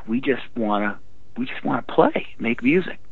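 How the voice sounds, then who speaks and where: The man's pitch varies in an ordinary way while noticeable background noise carries on. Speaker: rock singer. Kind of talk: casual interview. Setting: phone call.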